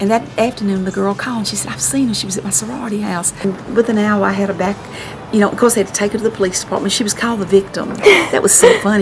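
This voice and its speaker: A woman speaks very fast in a Mississippi accent. Her pitch is medium, and background noise is noticeable. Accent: US Southern (Mississippi). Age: 60s. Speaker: local artist and columnist. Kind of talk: casual chat. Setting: at her home. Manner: animated.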